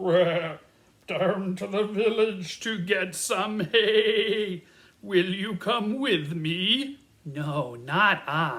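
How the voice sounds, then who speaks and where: Using a put-on character voice, a man speaks at a very slow pace in a high pitch. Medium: read story.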